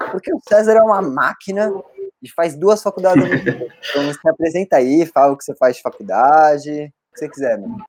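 With lively intonation and a high pitch for a man, he talks at a fairly quick pace in a dry, close sound with no echo. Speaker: podcast co-host and university student. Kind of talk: casual podcast chat.

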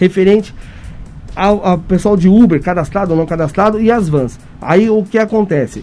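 The tone is dark and mellow, coming from a man. He talks fairly quickly. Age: 40s. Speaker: city council candidate. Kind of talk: radio interview.

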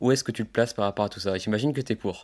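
The recording is very clean, with a silent background. Words come very fast, with ordinary pitch variation. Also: man. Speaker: tennis podcast host. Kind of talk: casual interview. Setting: outdoors for the intro. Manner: hesitant with fillers.

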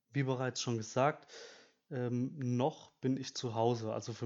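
Flat and monotone, a man speaks at a medium pitch and a fairly slow pace. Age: 20s. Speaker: student podcast host. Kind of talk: solo podcast monologue. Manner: hesitant, many filler sounds.

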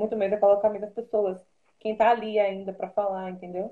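A woman's voice sits at a fairly high pitch. She speaks at a fairly quick pace. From Salvador, Bahia, Brazil. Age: 20s. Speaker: TV news producer. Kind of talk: interview on an Instagram live.

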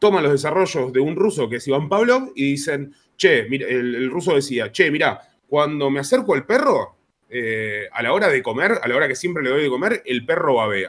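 A man talks at a moderate pace in a fairly high pitch. His voice makes very wide pitch swings. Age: 30s. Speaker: psychologist. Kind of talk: casual chat.

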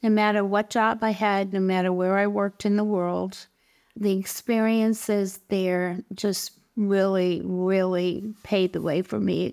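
Monotone, flat female voice of medium pitch with an American accent, fairly slow pace and very even loudness, on a very clean recording with a silent background. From Greater Boston, Massachusetts. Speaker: retired nurse and author. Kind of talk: interview.

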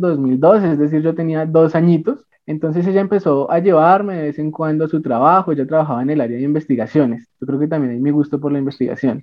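Here a man speaks at a fairly quick pace with ordinary pitch variation. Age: 20s. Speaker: medical student. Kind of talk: interview.

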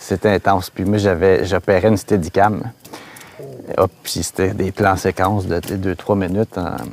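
A man with a Quebec accent talks at a fairly slow pace over noticeable background noise, his voice dry and close with no echo. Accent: Québécois French. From Quebec, Laurentides. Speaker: filmmaker. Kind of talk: casual chat.

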